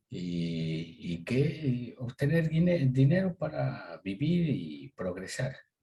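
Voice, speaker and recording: Very slow and with hardly any pauses, a man speaks at a medium pitch in a dark, mellow, somewhat breathy tone with very wide pitch swings. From Ecuador, Tulcán (northern highlands, Colombian border). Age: 60s. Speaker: agricultural business owner. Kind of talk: interview. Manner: hesitant, many fillers.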